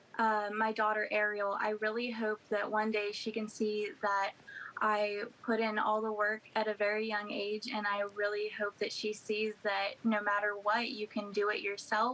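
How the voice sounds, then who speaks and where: A fairly high-pitched woman with an American accent, monotone and flat, at very even loudness over noticeable background noise. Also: moderate pace. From West Virginia. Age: 20s. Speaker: author. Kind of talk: interview. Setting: video call.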